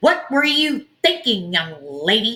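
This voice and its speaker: In a put-on character voice, a female-sounding speaker at a fairly high pitch talks at a fairly slow pace with very wide pitch swings. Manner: scolding, mock-upset.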